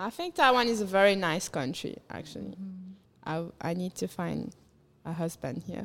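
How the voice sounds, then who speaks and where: A woman talks at a moderate pace with an unremarkable speaking voice. Her pitch is medium, with ordinary variation. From Mauritius. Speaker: musician. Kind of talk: casual chat.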